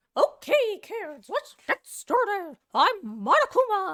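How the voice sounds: Someone does a put-on character voice at an extremely high pitch, speaking at a fairly slow pace.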